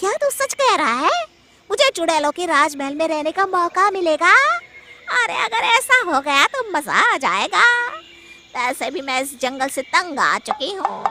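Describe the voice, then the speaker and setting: A put-on character voice, female-sounding and extremely high-pitched, carries the clip. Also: moderate pace. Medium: audio drama. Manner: cackling, boastful.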